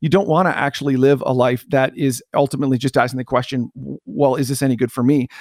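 A man with a Canadian accent at a very fast pace and medium pitch, fairly even in intonation, with hardly any pauses and a dry, close sound with no echo. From Canada. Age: 40s. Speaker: pastor and church consultant. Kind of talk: podcast interview.

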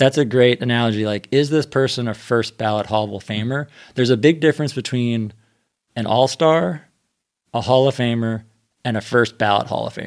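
In a very clean recording with a silent background, a man talks at a moderate pace in a normal speaking voice with ordinary pitch variation. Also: medium pitch for a man. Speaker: podcaster. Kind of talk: casual roundtable discussion.

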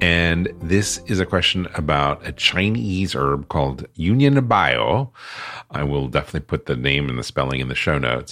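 A man's very deep, low voice with lively intonation at a moderate pace, music in the background. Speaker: podcast host. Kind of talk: interview.

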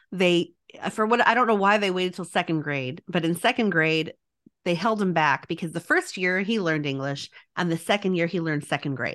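A plain, everyday voice from a woman with an American accent, fairly low in pitch with ordinary pitch variation, at a fairly quick pace over a quiet background. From Texas. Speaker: podcast host and instructional coach. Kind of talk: interview chat, with scripted promo reads.

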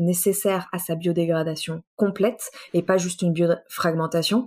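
Using a plain, everyday voice, a woman speaks at a fairly slow pace and medium pitch with fairly even intonation. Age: 20s. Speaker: engineer. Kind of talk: interview.

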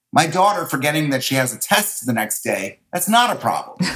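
Vocal fry runs through a man's fairly high voice as his pitch swings very widely. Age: 50s. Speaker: real estate agent. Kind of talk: interview. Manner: energetic.

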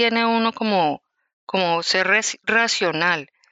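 A woman talks very slowly, and her pitch varies in an ordinary way. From Colombia, Bogotá. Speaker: activist. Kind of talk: interview. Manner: halting.

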